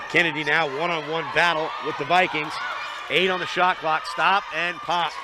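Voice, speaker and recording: Over noticeable background noise, a man speaks at a moderate pace with a high pitch. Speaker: basketball play-by-play commentator. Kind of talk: live commentary. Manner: loud talker; quieter than usual now.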